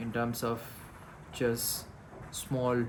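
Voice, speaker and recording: Delivered at a very slow pace, the speech carries audible room echo. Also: man. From India, Gujarat (Rajkot). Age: 20s. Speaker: vlogger. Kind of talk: casual vlog monologue. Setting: indoors in a room in the Himalayas, rain outside. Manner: hesitant, many fillers.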